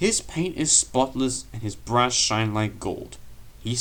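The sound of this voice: The clip holds an unforced reading voice.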